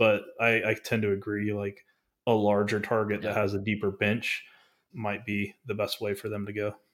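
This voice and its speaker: A man with an American accent, an ordinary speaking voice, a fairly low pitch and a moderate pace. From North Texas. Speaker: business broker. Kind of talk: interview.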